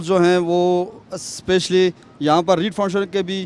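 Faint music plays in the background as a man speaks at a high pitch. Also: dry sound with no echo. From Hattian Bala, Azad Kashmir; Azad Kashmir. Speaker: private school head; guest. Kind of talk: panel discussion. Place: open country. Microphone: handheld.

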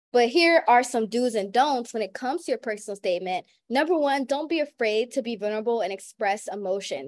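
A woman with an American accent speaks in an animated tone at a fairly quick pace. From US South (New Orleans). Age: young. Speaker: college student panelist and moderator. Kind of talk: webinar panel talk. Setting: video call. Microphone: video call.

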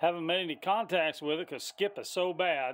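A man speaks at a moderate pace. His pitch is high. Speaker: CB radio hobbyist. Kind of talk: casual show-and-tell report to a radio tech. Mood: excited, amazed. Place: home room. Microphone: phone near.

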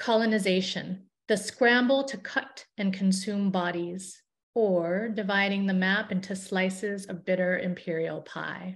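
In an American accent, a woman speaks fairly slowly with fairly even intonation and a somewhat breathy voice. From Chicago area. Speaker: essayist and poet; poet reading own work. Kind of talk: reading aloud. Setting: video call. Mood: grave, measured.

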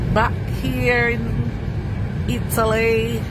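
Loud background noise runs through the clip. The sound itself is dry with no echo. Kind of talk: casual travel commentary. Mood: delighted, admiring. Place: car.

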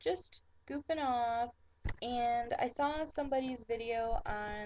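With an American accent, a woman speaks at a very slow pace in a high voice with ordinary pitch variation, the sound dry with no echo over light background noise. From Michigan. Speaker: vlogger. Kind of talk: casual talk to camera. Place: home room. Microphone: webcam.

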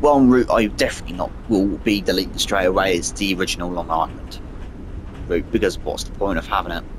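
Over noticeable background noise, a man with a British accent talks at a very fast pace. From Britain. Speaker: gaming YouTuber. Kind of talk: gameplay commentary. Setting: home gaming setup, console. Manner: casual, rambling with fillers.

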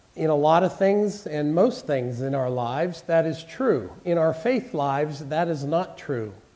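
With audible room echo, a man speaks at a fairly slow pace with hardly any pauses, using a fairly high pitch and lively intonation. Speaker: pastor. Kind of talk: sermon.

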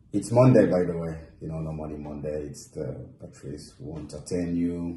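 A man with a very deep, low pitch speaks in fairly even intonation, with audible room echo and light background noise. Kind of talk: emotional social media monologue. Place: home room. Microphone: phone near.

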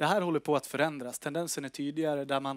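A man with a fairly high voice speaks in a flat monotone, recorded dry with no echo against a quiet background. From northern Sweden. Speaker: company executive. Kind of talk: investor presentation. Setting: stage with audience. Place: meeting room. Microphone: headset.

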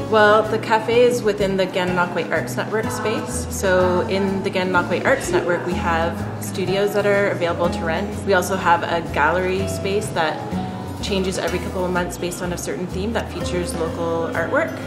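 Clear music plays in the background as a woman talks at a fairly quick pace. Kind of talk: interview answer. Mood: friendly, welcoming. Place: cafe.

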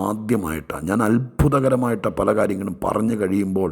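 A man with a medium pitch and ordinary pitch variation talks over noticeable background noise. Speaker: pastor. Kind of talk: sermon.

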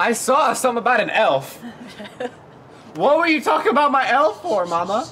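A man's extremely high, raised, projected voice with lively intonation and long, frequent pauses, over light background noise. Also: moderate pace. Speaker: daughter with her own channel, calls the other speaker Mom. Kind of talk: casual family banter to camera. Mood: playful, laughing. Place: home room.

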